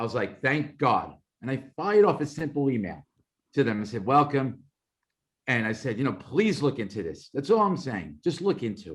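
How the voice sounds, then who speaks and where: With a Brooklyn accent, a man talks in an animated tone at medium pitch, with vocal fry, very wide pitch swings and a moderate pace, on a very clean recording with a silent background. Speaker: former FBI operations manager. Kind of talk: interview testimony. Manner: conversational, animated.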